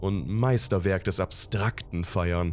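This man's very deep, low pitch carries ordinary pitch variation. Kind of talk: creepypasta horror narration, read aloud in a calm, ominous storytelling tone.

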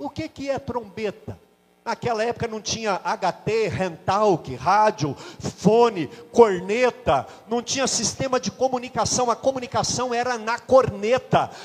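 In an animated tone, someone talks at a fairly slow pace with ordinary pitch variation against noticeable background noise. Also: man, high pitch for a man. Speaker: pastor. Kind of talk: sermon.

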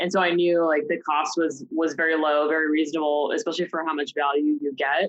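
With an American accent, the speaker rushes at a very fast pace in a monotone, flat intonation, at very even loudness and with hardly any pauses. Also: woman, very deep, low pitch for a woman. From Oregon, US. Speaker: self-employed marketing consultant. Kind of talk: casual interview. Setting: studio.

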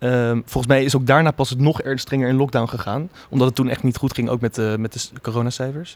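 At a very fast pace with hardly any pauses, a man of medium pitch speaks with fairly even intonation. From Netherlands, The Hague. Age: 20s. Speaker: theatre-making student. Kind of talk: casual chat.

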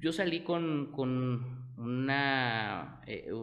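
A man with a fairly high pitch speaks with fairly even intonation amid audible room echo. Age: 20s. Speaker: entrepreneur, tequila brand founder. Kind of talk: interview.

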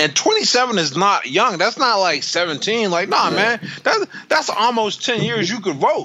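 Speaking with an American accent over noticeable background noise, a man uses a raised, projected voice that sits high for a man, with lively intonation, an animated tone, a fairly slow pace and hardly any pauses. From US, inner-city projects. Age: 30s. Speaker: boxer and motivational speaker. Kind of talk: casual chat.

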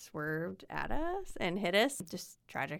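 In a very clean recording with a silent background, a woman speaks with a Midwestern American accent. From Indiana. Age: 40s. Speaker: amateur runner. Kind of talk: casual chat. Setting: in person.

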